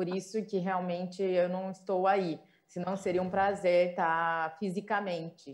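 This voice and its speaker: In an interior São Paulo accent, a woman speaks at a medium pitch in a flat monotone and a fairly slow pace. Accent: caipira countryside. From Brazil, São Paulo interior. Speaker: chef, food institute founder. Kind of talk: panel discussion. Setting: remote video call.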